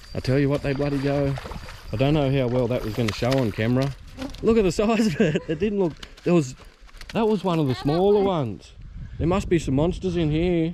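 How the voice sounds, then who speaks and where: A man with an Australian accent speaks at a fairly quick pace in a fairly high voice with lively intonation. Long, frequent pauses break his speech over noticeable background noise. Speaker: fishing vlogger. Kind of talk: casual outdoor vlog commentary. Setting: outdoors by a creek. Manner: hushed, trying to be quiet.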